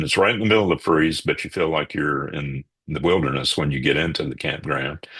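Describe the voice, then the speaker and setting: At a moderate pace, a man talks with vocal fry in a very deep, low voice that carries a bright, sharp tone. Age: 60s. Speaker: local photographer. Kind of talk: casual interview.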